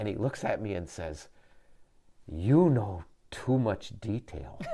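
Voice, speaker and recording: A man with an American accent speaks very slowly in a fairly low, somewhat breathy voice with a dark, mellow tone and very wide pitch swings. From Upper Peninsula of Michigan. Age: 60s. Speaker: business owner. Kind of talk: interview. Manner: halting, repeats words.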